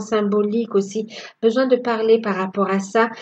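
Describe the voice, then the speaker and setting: At a fairly slow pace, a woman speaks with a fairly high pitch and monotone, flat intonation. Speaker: tarot card reader. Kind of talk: tarot reading. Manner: hesitant, many fillers.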